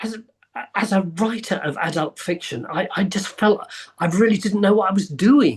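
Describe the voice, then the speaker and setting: A high-pitched man with an English accent speaks at a moderate pace with ordinary pitch variation. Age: 70s. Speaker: actor, writer, historian. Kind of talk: podcast interview answer.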